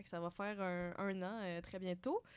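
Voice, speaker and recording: A woman speaks at a moderate pace. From Quebec, Sherbrooke. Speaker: economics graduate student. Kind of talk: interview. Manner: hesitant, many fillers.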